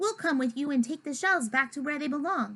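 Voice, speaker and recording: A woman's put-on character voice, high-pitched and at a fairly quick pace. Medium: read story.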